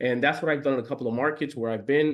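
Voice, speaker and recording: A man speaks at a medium pitch with ordinary pitch variation. The background is quiet. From Puerto Rico. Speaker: real estate agent. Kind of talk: training presentation. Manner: fast; energetic.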